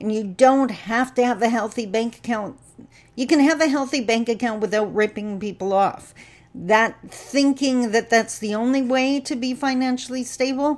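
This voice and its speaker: A woman talks with a high pitch. Her pace is moderate and her pitch varies in an ordinary way. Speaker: speaker, trainer. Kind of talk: casual vlog talk on a social topic. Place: home room. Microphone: webcam.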